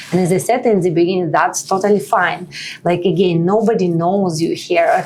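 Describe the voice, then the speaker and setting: At a fairly quick pace, a woman with a medium pitch speaks with very even loudness and fairly even intonation over noticeable background noise. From Russia. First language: Russian. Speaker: nonprofit partnership lead, immigrant advocate. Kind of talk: podcast interview. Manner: hesitant, filler-heavy.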